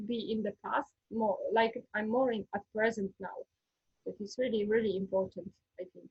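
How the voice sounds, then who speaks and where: A woman with a Polish accent talks at a moderate pace with a fairly high pitch and a somewhat breathy voice. Her intonation is fairly even, while her loudness swings widely. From Poland. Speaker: former history teacher, ayurveda student. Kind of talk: interview testimony. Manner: halting.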